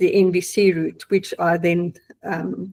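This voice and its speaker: A woman speaks at medium pitch. Her intonation is monotone and flat. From South Africa. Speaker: client giving testimonial, accountant. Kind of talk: testimony. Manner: hesitant, many fillers.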